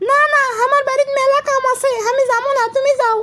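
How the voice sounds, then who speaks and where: A female-sounding cartoonish character voice, pitched extremely high. It moves at a moderate pace with monotone, flat intonation. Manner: shy.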